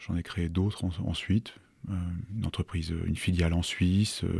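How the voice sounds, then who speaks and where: Somewhat breathy and very deep, this man's voice has a dark, mellow tone and fairly even intonation in a dry, close sound with no echo. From Savoie, France (Annecy). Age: 50s. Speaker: entrepreneur. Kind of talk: interview. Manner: halting.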